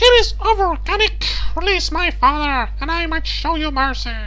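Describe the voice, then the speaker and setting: Over noticeable background noise, a put-on character voice speaks at a moderate pace. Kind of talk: grandiose. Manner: dramatic, hammy.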